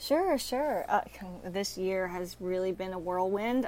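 A woman with a Texan accent speaks at a medium pitch. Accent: Texan American. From Texas. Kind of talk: interview.

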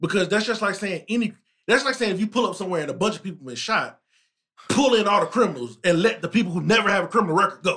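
Talking at a very fast pace, a man projects a raised voice with a high pitch, a bright, sharp tone, ordinary pitch variation and big swings in loudness. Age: 30s. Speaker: podcast host. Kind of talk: casual chat.

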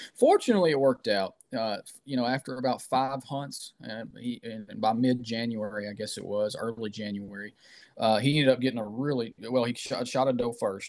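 Against a quiet background, a man talks at a fairly quick pace in a plain, everyday voice, medium in pitch with fairly even intonation. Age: 30s. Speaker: outdoor writer and whitetail hunter. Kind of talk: casual interview.

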